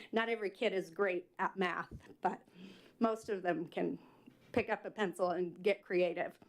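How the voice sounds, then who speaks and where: Long, frequent pauses break up speech delivered at a moderate pace with fairly even intonation. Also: woman, medium pitch for a woman. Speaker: PTSA president, public commenter. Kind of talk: public comment at council meeting. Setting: city council meeting. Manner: loud.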